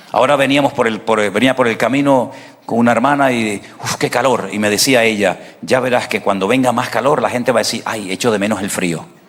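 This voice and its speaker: Over noticeable background noise, a man talks at a fairly quick pace with a medium pitch and ordinary pitch variation. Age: 60s. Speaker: pastor. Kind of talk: sermon.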